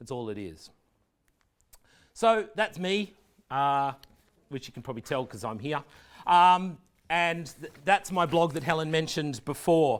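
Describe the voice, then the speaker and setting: A fairly high-pitched man with an Australian accent, fairly slow with long, frequent pauses, lively intonation and big swings in loudness, in a very clean recording with a silent background. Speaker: education technology leader giving a talk. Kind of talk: presentation.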